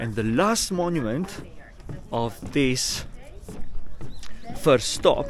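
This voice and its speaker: A man speaks at a fairly high pitch, his pitch swinging very widely. Noticeable background noise and audible room echo fill the recording. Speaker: travel vlogger. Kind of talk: travel vlog narration. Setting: outdoors. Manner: mumbling.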